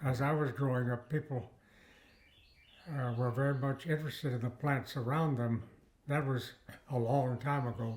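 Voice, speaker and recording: A man speaks at medium pitch, somewhat breathy, with fairly even intonation and very even loudness. He leaves long, frequent pauses. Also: moderate pace. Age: 90s. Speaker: retired botany professor. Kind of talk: interview. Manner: halting, with many fillers and repeated words.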